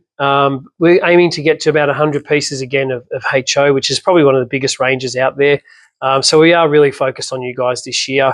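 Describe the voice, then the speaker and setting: An Australian accent from a man with a fairly high pitch, very fast pace and monotone, flat intonation, in a dry, close sound with no echo. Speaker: slot car shop owner. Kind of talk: casual product talk to camera. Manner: short of breath.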